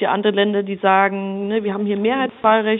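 A woman talks at a fairly quick pace and medium pitch with flat, monotone intonation. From Upper Franconia, Bavaria (Germany). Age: 30s. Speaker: member of parliament. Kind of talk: interview.

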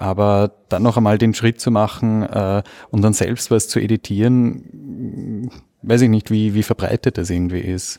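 A man with fairly low pitch and a dark, mellow tone at a fairly slow pace with fairly even intonation, on a very clean recording with a silent background. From Vienna, Austria. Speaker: podcast conference attendee. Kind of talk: casual chat. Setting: conference venue.

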